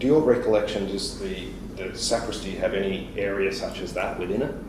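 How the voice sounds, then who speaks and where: Someone with an Australian accent speaks at a moderate pace amid noticeable background noise and audible room echo. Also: man. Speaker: police interviewer. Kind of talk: police interview.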